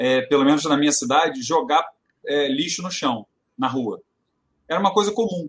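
Lively in intonation, a man speaks at a fairly high pitch. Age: 40s. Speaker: retail consultant. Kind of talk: casual chat.

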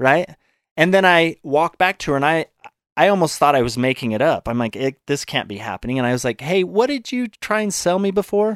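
In a very clean, dry and close recording with a silent background and no echo, a man with an American accent talks at a fairly quick pace in a fairly high pitch, with very wide pitch swings. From Utah, US. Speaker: fitness trainer and author. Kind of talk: casual interview.

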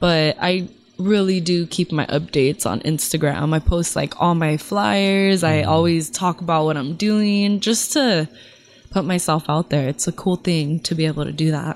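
With a Californian accent, a woman talks at a moderate pace in a fairly low pitch with ordinary pitch variation. Noticeable background noise runs underneath. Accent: Californian American English. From Los Angeles area. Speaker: singer. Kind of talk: casual chat. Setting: studio.

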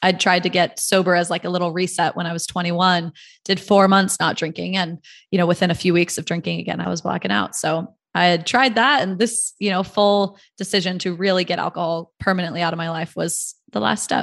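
Over a quiet background, a woman speaks at a fairly quick pace with vocal fry. Her pitch is fairly low, with ordinary variation. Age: 30s. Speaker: company founder. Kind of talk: interview.

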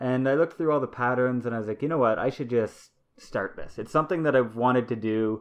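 The man's medium-pitched voice races along very fast with ordinary pitch variation. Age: 30s. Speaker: father and cross stitch designer. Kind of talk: casual chat. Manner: halting, many fillers.

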